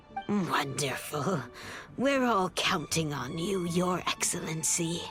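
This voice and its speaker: A woman's put-on character voice, fairly low in pitch and fairly slow in pace, over clear music in the background. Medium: short film. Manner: earnest, grave.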